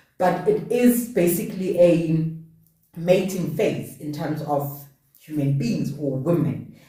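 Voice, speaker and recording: At a very slow pace, a woman speaks in a somewhat breathy voice with a fairly low pitch, with audible room echo. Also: ordinary pitch variation. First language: not English. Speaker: podcast host. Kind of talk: casual chat. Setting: live stream.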